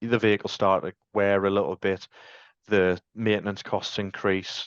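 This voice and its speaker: Against a quiet background, a man with a Sunderland accent speaks in a fairly low, monotone, flat voice, with a dry, close sound and no echo. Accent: Mackem (Sunderland). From North East England (Sunderland). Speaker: van fleet sales manager. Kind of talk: podcast interview. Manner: casual, many fillers.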